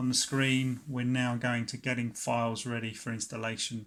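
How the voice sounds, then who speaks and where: A man speaks with a British accent. His intonation is monotone and flat. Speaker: tech YouTuber. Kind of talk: tutorial. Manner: hesitant, filler words.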